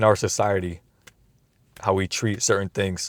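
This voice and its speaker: In a very clean recording with a silent background and a dry, close sound with no echo, a man speaks fairly quickly at a fairly low pitch with fairly even intonation. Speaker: YouTuber. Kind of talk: casual monologue. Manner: fast.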